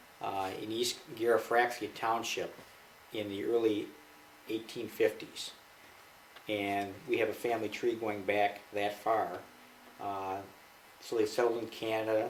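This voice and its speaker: With an American accent, a man speaks at a fairly slow pace in a fairly low pitch and monotone, flat intonation, with audible room echo around him. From Michigan, US. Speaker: interviewee, father. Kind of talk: family interview.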